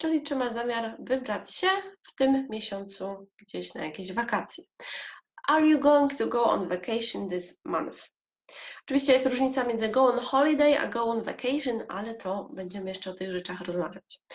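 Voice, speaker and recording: A woman with a Polish accent, fairly high-pitched, with lively intonation, big swings in loudness and a moderate pace. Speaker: English teacher and podcaster. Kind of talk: solo podcast monologue, educational.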